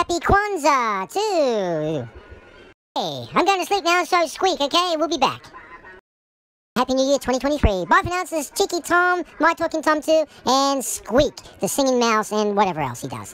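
A put-on character voice, female-sounding and high in pitch, at a moderate pace. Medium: role play. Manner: upbeat, chatty.

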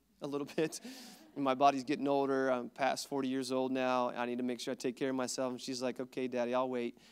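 A man rattles along at a very fast pace in a monotone, flat intonation. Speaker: pastor. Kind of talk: sermon. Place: church. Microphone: handheld.

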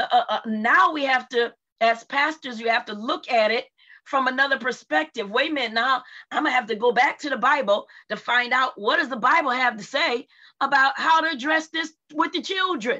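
A woman speaks in a raised, projected voice with a bright, sharp tone. Her pace is moderate, her pitch variation ordinary, and the background quiet. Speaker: church panel discussion host. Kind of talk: moderated panel discussion. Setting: video call. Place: home room. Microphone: video call.

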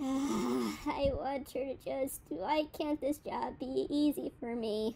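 A put-on character voice at a very slow pace, with clear background noise. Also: female-sounding voice. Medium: audio drama. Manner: angry, scolding, exasperated.

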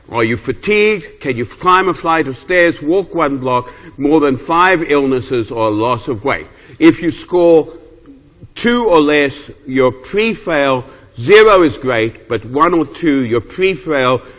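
A man speaks very slowly, with lively intonation. His pitch is fairly high, and the background is quiet. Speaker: geriatrics professor. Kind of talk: lecture. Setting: stage with audience. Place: hall.

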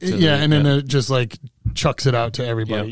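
In a dry recording with no echo and a quiet background, a man talks at a moderate pace and a fairly high pitch with ordinary pitch variation. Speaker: podcast host. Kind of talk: casual podcast conversation. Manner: casual, conversational. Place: studio. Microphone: studio mic.

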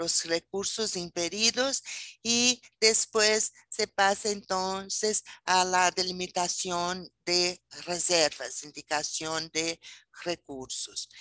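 Against a quiet background, a woman speaks at a very slow pace with ordinary pitch variation, the sound dry with no echo. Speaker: presenter. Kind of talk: lecture. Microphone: video call.

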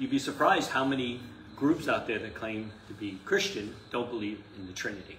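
A man's medium-pitched, fairly bright voice with ordinary pitch variation and a fairly quick pace, plus audible room echo.

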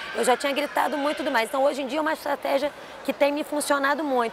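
A woman speaks at a high pitch with ordinary pitch variation. The sound is dry with no echo, though there is noticeable background noise. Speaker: physical education teacher. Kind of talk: testimony interview. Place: hall. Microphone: lapel.

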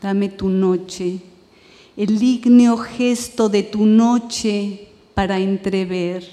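Quiet and very slow, a woman speaks at medium pitch with fairly even intonation. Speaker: poet. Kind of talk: poetry reading in Spanish, the original poems. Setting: stage with audience, festival reading. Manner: measured, hushed, incantatory; lyrical cadence. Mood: calm, measured, lyrical. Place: stage. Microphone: podium.

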